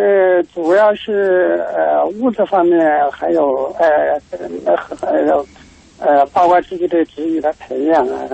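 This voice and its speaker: The speech moves at a very slow pace. Noticeable background noise is heard. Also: man. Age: 60s. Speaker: radio caller. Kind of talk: phone-in call. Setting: phone call. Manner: halting, repeats words.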